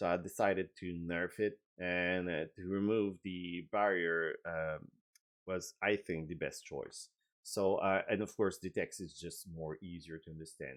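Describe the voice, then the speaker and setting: A man with a French accent, very deep and low, at a fairly slow pace with fairly even intonation, against a quiet background. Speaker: game designer. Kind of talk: video update and tutorial. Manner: halting, many filler words.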